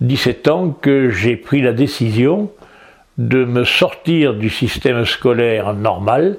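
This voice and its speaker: A man's medium-pitched voice at a very slow pace, with lively intonation and very even loudness. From southern France, Toulon area. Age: 80s+. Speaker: retired judo teacher. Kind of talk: interview. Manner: halting, many hesitations.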